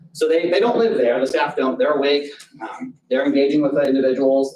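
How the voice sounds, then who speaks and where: Here a man speaks with lively intonation. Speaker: group home operator presenting to a board. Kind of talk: public hearing testimony. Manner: loud; halting, many fillers and restarts.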